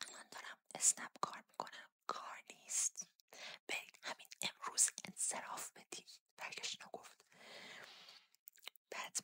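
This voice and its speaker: Whispering at a moderate pace is heard in a dry, close recording with no echo. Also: woman. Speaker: ASMR creator. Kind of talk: ASMR storytelling, personal anecdotes. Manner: whispered, soft-spoken.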